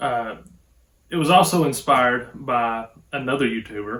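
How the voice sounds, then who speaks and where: A man's medium-pitched voice with an Appalachian accent and ordinary pitch variation. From Appalachia, southwest Virginia. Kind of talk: casual talk to camera.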